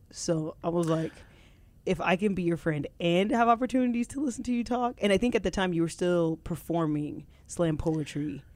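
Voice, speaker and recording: On a very clean recording with a silent background, a woman speaks in an unremarkable speaking voice at a fairly low pitch. Her intonation is lively and her pace moderate. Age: 40s. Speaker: podcast co-host. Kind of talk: casual chat.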